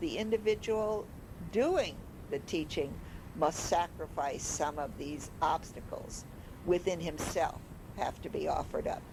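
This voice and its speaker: The speaker has an American accent and an ordinary speaking voice. The pace is fairly slow, with lively intonation. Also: woman, medium pitch for a woman. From Chicago. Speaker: retired high school English teacher. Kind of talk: personal reminiscence narration. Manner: reflective, earnest.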